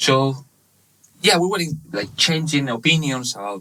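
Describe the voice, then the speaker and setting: A man with a Spanish accent speaks at a moderate pace in a medium-pitched, bright, sharp voice with vocal fry and lively intonation. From Spain, Barcelona (Catalonia). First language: Spanish/Catalan. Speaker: webshop manager. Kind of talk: casual interview. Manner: halting, many fillers.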